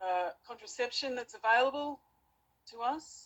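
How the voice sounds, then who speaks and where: This speaker has an Australian accent and a moderate pace. The pitch moves up and down an ordinary amount. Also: woman. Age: 40s. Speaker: debater, channel owner. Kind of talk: debate. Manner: halting.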